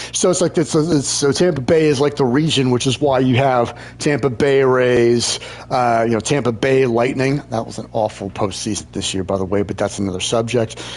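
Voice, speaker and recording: With noticeable background noise, a man in an American accent speaks at a medium pitch with ordinary pitch variation. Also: moderate pace. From Maryland, US Mid-Atlantic. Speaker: gaming streamer. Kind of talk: casual chat. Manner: halting, many fillers and repetitions.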